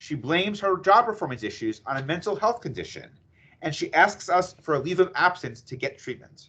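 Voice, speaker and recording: Speaking fairly quickly in an American accent, a man uses a high pitch with very wide pitch swings. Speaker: employment attorney presenter. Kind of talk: webinar presentation. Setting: video call webinar. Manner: fast.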